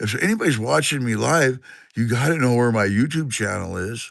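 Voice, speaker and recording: With a Pacific Northwest accent, the speaker uses lively intonation at a moderate pace against a quiet background. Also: man. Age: 60s. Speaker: livestreamer. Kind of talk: casual chat. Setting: live stream from a garage. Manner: rambling, halting.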